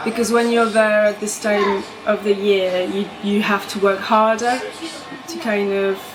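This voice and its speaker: A French accent with fairly even intonation and long, frequent pauses, over noticeable background noise. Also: woman. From France, Bordeaux. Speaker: composer and pianist. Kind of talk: interview conversation.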